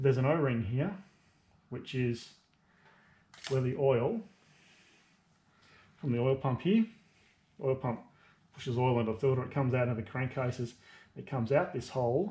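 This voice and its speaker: A man's dark, mellow, somewhat breathy tone, with ordinary pitch variation and long, frequent pauses. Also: moderate pace. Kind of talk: tutorial. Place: workshop. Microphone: phone near.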